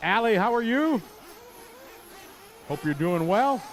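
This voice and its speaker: A man speaks in a Wisconsin accent. He talks at a fairly quick pace. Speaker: race announcer. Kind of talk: live commentary.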